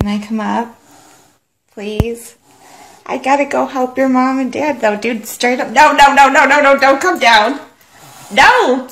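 A high-pitched woman at a fairly slow pace, with long, frequent pauses, ordinary pitch variation and light background noise. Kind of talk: casual talk to a pet. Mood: pleading, nervous, playful. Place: home room. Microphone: phone near.

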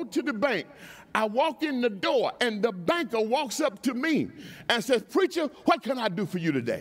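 Speaking at a moderate pace, a man with an extremely high voice sounds animated and uses lively intonation. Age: 70s. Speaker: preacher. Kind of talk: sermon. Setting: church with congregation. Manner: animated, call-and-response. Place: church. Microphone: headset.

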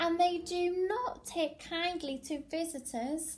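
A woman speaks at an extremely high pitch with lively intonation. Her tone is animated and playful. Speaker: primary school teacher. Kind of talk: children's story read-aloud, dramatic narration. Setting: video message to pupils. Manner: animated, playful, exaggerated expressions with gasps and sound effects; warm, child-friendly. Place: home room. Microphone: phone near.

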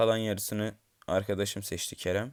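On a very clean recording with a silent background, a man speaks at a fairly low pitch. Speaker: gaming YouTuber. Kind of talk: gameplay commentary. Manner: low-energy.

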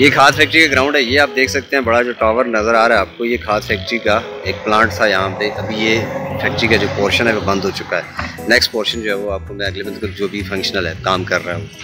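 Clear music plays in the background as a man speaks at a very fast pace. His pitch varies in an ordinary way. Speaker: vlogger. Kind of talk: casual vlog commentary. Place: open country. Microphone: phone near.

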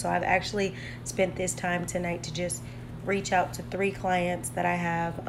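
A woman talks at a moderate pace, and noticeable background noise can be heard behind her. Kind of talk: casual vlog chat. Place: kitchen. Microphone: phone near.

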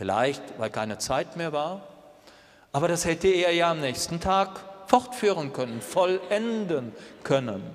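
A man with a high pitch and very wide pitch swings, at a fairly slow pace with long, frequent pauses. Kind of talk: homily in church, a reflective, earnest sermon with rhetorical questions. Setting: church. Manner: measured, earnest, thoughtful pace; direct address, rhetorical questions to the congregation. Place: church.

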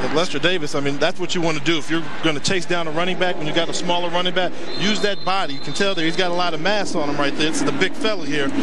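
A man's high-pitched voice at a very fast pace, with very even loudness, ordinary pitch variation, dry sound with no echo, and loud background noise. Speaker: color commentator, former football player; color commentator. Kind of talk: live commentary. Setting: stadium broadcast booth.

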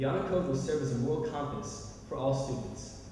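There's strong room echo and light background noise as a man talks at a fairly quick pace. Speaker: speaker. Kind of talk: formal ceremonial speech. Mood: proud, warm. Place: hall. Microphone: podium.

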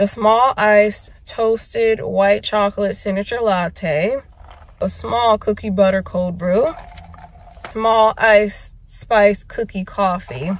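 A woman's very slow speech with ordinary pitch variation, in a dry sound with no echo. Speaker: vlogger. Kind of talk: casual vlog chat. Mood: relaxed, pleased. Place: car. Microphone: phone near.

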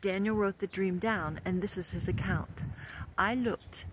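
With fairly even intonation, a passage is read aloud in a natural voice.

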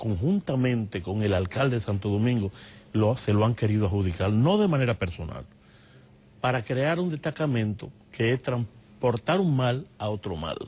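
This man's somewhat breathy voice has lively intonation. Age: 60s. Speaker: human rights lawyer and activist. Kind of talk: TV interview.

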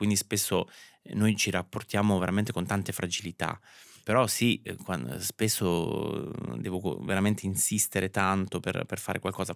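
A man speaks at a moderate pace, fairly low in pitch with vocal fry and lively intonation. The sound is dry with no echo over a quiet background. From Italy, Marche (Ancona province); Marche, Italy. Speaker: fashion stylist; interview guest. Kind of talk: interview. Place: studio. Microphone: studio mic.

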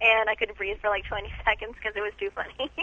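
A woman's voice with lively intonation at a moderate pace, the sound dry with no echo. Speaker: retail store employee answering the phone. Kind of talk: phone conversation. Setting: phone. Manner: polite, friendly, patient. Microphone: phone line.

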